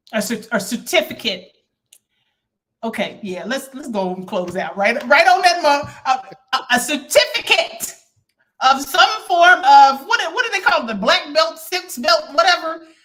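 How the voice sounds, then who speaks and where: Her voice is high-pitched, bright and sharp, with an animated tone at a fairly slow pace. Both pitch and loudness swing widely, the pitch very widely. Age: 40s. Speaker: talk show host. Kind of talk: interview.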